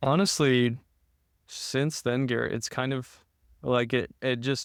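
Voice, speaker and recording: Medium-pitched male voice with fairly even intonation, on a very clean recording with a silent background. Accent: American. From Utah. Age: 20s. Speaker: podcast guest, law student. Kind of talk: casual interview, personal testimony.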